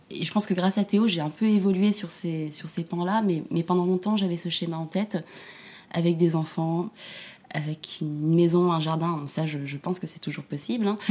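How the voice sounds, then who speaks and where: Her voice has a dark, mellow tone and fairly low pitch, and this woman keeps her intonation fairly even. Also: moderate pace. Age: 30s. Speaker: single mother. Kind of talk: interview testimony. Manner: halting, many repetitions.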